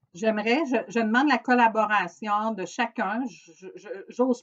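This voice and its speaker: The speaker is a woman. Her pitch is fairly high. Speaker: organization coordinator. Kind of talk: recorded briefing to staff. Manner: hesitant, many fillers.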